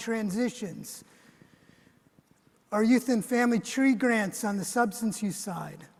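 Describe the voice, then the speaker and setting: A man with an American accent speaks at a high pitch. He goes at a fairly slow pace with fairly even intonation. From US. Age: 60s. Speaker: government official. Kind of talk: keynote speech. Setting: conference stage with audience.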